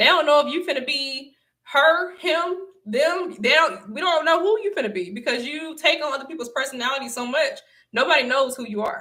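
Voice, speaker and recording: A woman speaks with an American accent at a fairly quick pace, her high, bright, sharp voice raised and projected with lively intonation. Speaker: online motivational speaker. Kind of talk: livestream talk.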